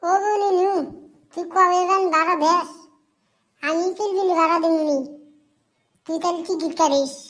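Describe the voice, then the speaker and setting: A cartoonish character voice with an extremely high pitch moves at a fairly slow pace, with an audible echo. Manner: teasing, mocking.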